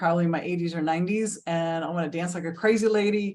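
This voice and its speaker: Here a woman speaks in a fairly low pitch. Her intonation is monotone and flat. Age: 60s. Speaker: health and wellness coach, co-host. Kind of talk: casual chat.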